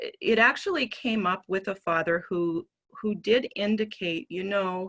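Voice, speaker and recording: A woman talks at a fairly slow pace with a medium pitch and ordinary pitch variation. The background is quiet. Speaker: professor. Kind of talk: research presentation.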